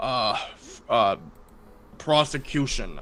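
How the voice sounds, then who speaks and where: Over clear background noise, a man does a put-on character voice at a very slow pace. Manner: halting, hesitant, with uh fillers.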